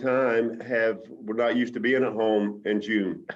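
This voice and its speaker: With an American accent, the speaker goes along at a fairly slow pace. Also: man. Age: 60s. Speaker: baseball team manager. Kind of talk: interview. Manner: halting.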